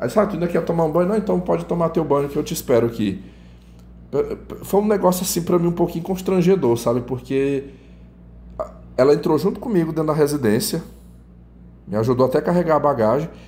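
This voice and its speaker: Speaking at a very fast pace broken by long, frequent pauses, a man uses lively intonation and a fairly high pitch. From northern Brazil. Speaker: YouTuber telling personal testimony. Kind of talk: personal storytelling monologue. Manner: casual, conversational with self-corrections.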